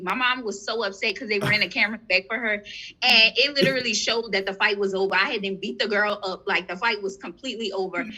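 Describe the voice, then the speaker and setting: A woman's fairly high-pitched, fairly quick speech in a New Orleans accent, with noticeable background noise. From New Orleans, Louisiana. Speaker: entrepreneur. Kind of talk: casual chat.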